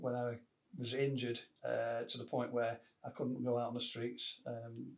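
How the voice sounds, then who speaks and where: A man speaks at medium pitch and a fairly slow pace. His intonation is flat and monotone. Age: 60s. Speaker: actor and retired police officer. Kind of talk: interview. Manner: hesitant, many fillers.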